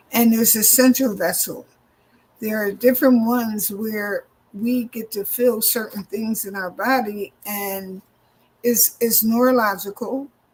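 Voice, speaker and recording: Moving at a fairly slow pace, the speech comes out somewhat breathy and fairly even in intonation. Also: woman, fairly high pitch for a woman. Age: 60s. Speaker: minister and EFT practitioner. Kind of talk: interview.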